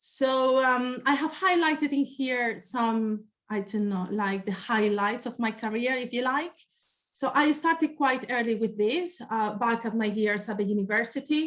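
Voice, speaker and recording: A woman with a high pitch and a Spanish accent, at a fairly slow pace with ordinary pitch variation. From Spain. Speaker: environmental scientist. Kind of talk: presentation. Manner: hesitant, with fillers.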